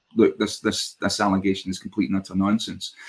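Speech comes at a fairly quick pace. The recording is very clean, with a silent background. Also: man. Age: 50s. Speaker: podcast co-host. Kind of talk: casual political chat.

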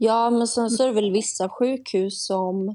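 A woman speaks at a fairly slow pace with fairly even intonation and a dark, mellow tone. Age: 20s. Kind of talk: casual interview.

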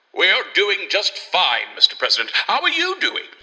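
This man is using a put-on character voice. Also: extremely high pitch for a man, moderate pace.

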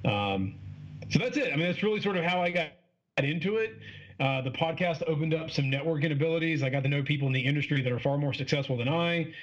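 Very fast speech comes from a man with a fairly high pitch. His loudness stays very even, with ordinary pitch variation. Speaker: podcaster and fitness coach. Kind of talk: casual interview chat. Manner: fast talker; casual, profane, animated.

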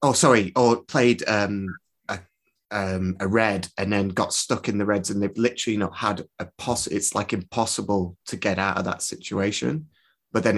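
The speaker has a Lancashire accent. The background is quiet. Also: man. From northern England, Preston. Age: 30s. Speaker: podcast host. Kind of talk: interview.

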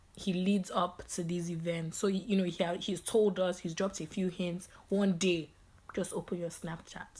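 Her voice is fairly low for a woman. It also sounds somewhat breathy. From England, London. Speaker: podcast co-host. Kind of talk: casual chat.

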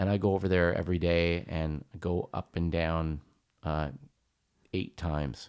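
Speaking at a fairly slow pace with long, frequent pauses, a man with a Canadian accent uses a very deep, low pitch and fairly even intonation. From Canada, Hamilton, Ontario. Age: 50s. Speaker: singer and pianist. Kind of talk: casual chat.

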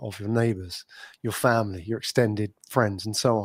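A man with a London accent speaks at a fairly quick pace in a fairly low voice with fairly even intonation. The recording is very clean, with a silent background. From London, England. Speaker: podcast agency owner, entrepreneur. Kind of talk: casual interview.

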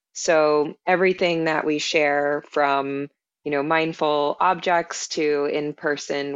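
A woman's very deep, low voice with fairly even intonation at a fairly slow pace. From Canada (Ontario and Quebec). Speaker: founder of a mindfulness brand. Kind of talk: interview.

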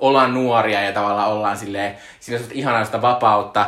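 There's noticeable background noise and audible room echo as a man talks at a medium pitch. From Finland, Joensuu. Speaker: podcast co-host. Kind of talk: casual chat. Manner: hesitant, many filler sounds.

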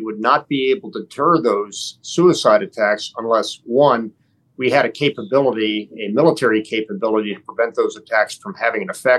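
At a moderate pace with hardly any pauses, the speaker uses an unremarkable speaking voice with ordinary pitch variation. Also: man. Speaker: retired general and former diplomat. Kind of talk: panel discussion. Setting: remote video link.

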